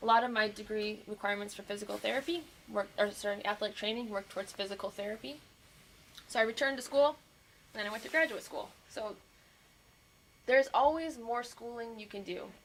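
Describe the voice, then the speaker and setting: A woman with an American accent and a fairly high pitch, talking at a very fast pace broken by long, frequent pauses. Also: ordinary pitch variation, big swings in loudness. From Montana. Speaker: physical therapist. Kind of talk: career talk to students. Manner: animated.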